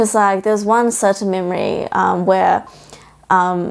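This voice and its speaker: A woman with a New Zealand accent at a fairly slow pace, medium in pitch, her intonation fairly even. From New Zealand (Auckland), first six years in Shanghai. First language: Mandarin. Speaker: bakery founder. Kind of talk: podcast interview.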